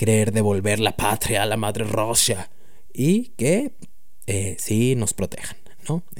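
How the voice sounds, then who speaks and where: Speaking fairly slowly in a Mexican accent, this voice comes through noticeable background noise and audible room echo. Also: man. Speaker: podcast host. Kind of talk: casual chat. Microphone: new microphone.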